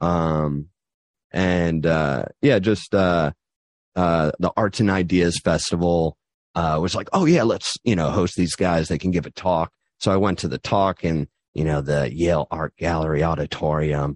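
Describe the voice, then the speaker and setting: Speaking with an American accent at a fairly slow pace, a man with a very deep, low pitch keeps a fairly even intonation in a dry, close sound with no echo and a quiet background. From New Haven, Connecticut, US. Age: 30s. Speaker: entrepreneur. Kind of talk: radio interview. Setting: studio. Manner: halting, many fillers.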